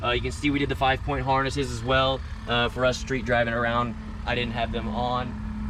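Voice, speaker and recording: A man speaks with audible room echo. Noticeable background noise can be heard. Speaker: car shop mechanic presenting a build. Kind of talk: casual tutorial walkaround.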